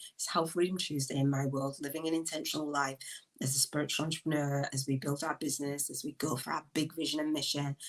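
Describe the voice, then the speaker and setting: With a northern English accent, a woman speaks at a fairly quick pace in an animated tone. Her pitch is very deep and low. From northern England, Leeds. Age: 50s. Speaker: podcast host. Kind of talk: live stream monologue. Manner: loud.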